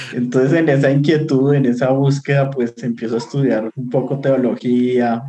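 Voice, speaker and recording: A man with a Bogotá accent speaks at a moderate pace in a medium pitch, with hardly any pauses. His intonation is flat and monotone. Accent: Bogotá Colombian Spanish. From Colombia, Bogotá. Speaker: biblical scholar and university lecturer. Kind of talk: casual interview chat. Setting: video call.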